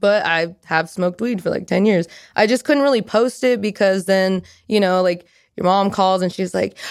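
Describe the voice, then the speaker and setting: In an American accent and an unremarkable speaking voice, a woman talks at medium pitch and a moderate pace with ordinary pitch variation, on a very clean recording with a silent background. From California, Merced area (Central Valley). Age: 20s. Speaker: adult content creator. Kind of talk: casual chat. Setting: studio.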